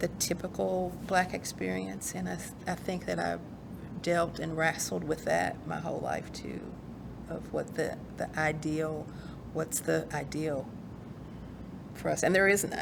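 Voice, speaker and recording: With a Kentucky accent, a woman speaks at a fairly slow pace with long, frequent pauses, and the room echo is audible. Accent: Kentucky country twang. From rural eastern Kentucky, Appalachia. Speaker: author and poet. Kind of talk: interview conversation. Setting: recorded virtual program. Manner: halting, many fillers.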